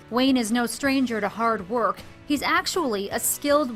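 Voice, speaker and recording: A woman with a fairly high pitch and ordinary pitch variation talks at a moderate speed while music plays in the background. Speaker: TV reporter. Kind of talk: TV news feature narration.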